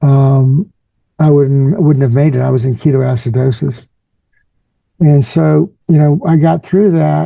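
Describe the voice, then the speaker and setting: At a fairly slow pace, a man speaks in a somewhat breathy voice with a fairly high pitch and ordinary pitch variation. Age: 60s. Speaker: cancer survivor and patient advocate. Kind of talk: interview.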